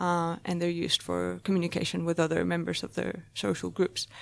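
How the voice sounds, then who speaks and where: A woman with a Spanish accent speaks at a moderate pace on a very clean recording with a silent background. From Spain. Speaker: marine biology PhD student. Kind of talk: interview. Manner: hesitant, many fillers.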